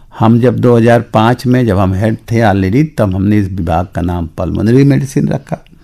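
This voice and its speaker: Speaking at a moderate pace, a man uses a fairly low pitch with ordinary pitch variation. His tone is dark and mellow, and he leaves hardly any pauses. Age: 70s. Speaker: retired pulmonary medicine professor and doctor. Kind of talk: radio interview. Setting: studio.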